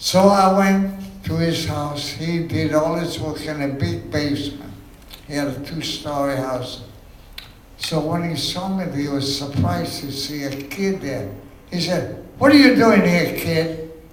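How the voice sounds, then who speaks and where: A man talks at a fairly slow pace with noticeable background noise present. His voice sits fairly high and varies in an ordinary way. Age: 80s+. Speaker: jazz ukulele and guitar musician. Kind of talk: storytelling on stage.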